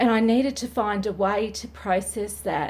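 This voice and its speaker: This woman has vocal fry, a medium pitch, fairly even intonation and a moderate pace. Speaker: domestic violence survivor and support advocate. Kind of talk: personal video monologue. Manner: halting, many fillers.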